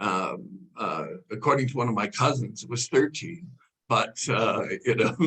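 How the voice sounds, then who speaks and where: A man speaks at a fairly slow pace with a medium pitch and lively intonation. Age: 60s. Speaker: caregiver advocate. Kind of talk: webinar Q&A. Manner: halting, many fillers.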